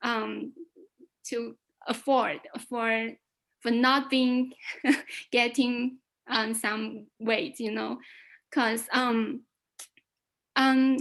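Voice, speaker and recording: A woman with a Chinese accent speaks at a high pitch in a monotone, flat intonation, at a very slow pace. Long, frequent pauses break her speech on a very clean recording with a silent background. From China. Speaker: club guest. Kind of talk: impromptu speech. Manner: halting.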